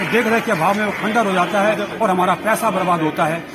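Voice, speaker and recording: Against crowd noise in the background and audible room echo, a man with a high voice speaks at a moderate pace with ordinary pitch variation. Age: 60s. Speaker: civic activist. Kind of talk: media statement.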